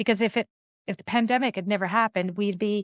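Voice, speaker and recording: An unremarkable speaking voice moves at a fairly quick pace in a very clean recording with a silent background, the sound dry and close with no echo. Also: woman. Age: 50s. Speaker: podcast host. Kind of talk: casual podcast conversation.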